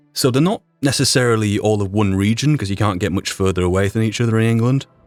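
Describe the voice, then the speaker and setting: This man speaks very fast with a Yorkshire accent. His pitch is fairly low and varies in an ordinary way. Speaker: YouTube roleplay creator and voice performer. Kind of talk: podcast retrospective monologue.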